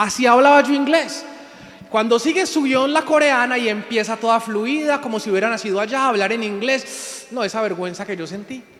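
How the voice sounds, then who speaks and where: Audible room echo and noticeable background noise surround a man speaking at an extremely high pitch with ordinary pitch variation. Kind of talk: sermon.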